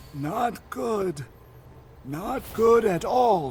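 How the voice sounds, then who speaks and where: Using a put-on character voice, the man talks at a high pitch. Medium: video game. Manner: blunt, curt, cynical.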